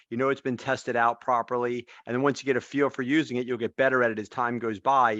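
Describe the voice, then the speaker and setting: Very fast and with hardly any pauses, a man speaks in a monotone, flat intonation with a dry, close sound and no echo. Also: medium pitch for a man, quiet background. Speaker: real estate trainer. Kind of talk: online workshop discussion.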